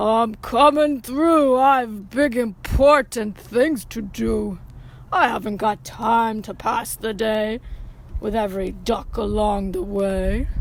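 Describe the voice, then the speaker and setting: A put-on character voice, female-sounding and fairly high for a woman, at a fairly slow pace over clear background noise. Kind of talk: children's read-aloud. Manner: brash, self-important.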